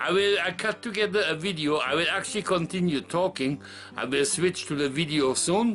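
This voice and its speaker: A man with a high voice talks at a moderate speed and ordinary pitch variation as noticeable background noise carries on. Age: 60s. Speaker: retiree vlogger. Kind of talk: casual vlog monologue. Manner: halting.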